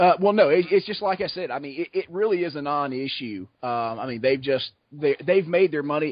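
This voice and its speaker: This man talks in a Southern US accent at a fairly quick pace, with hardly any pauses. His pitch is fairly high and his intonation lively. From US South, south Georgia. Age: 30s. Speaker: podcast guest. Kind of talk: casual chat.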